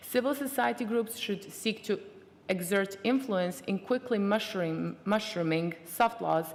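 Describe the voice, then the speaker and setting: Noticeable noise sits behind a woman whose medium-pitched voice shows ordinary pitch variation. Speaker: conference rapporteur lead. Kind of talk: reading out conference messages. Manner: fast.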